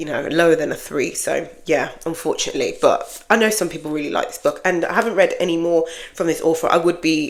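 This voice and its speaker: A woman with a British accent, hardly any pauses, and noticeable background noise. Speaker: book vlogger. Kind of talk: casual chat. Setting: home office. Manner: casual, unscripted.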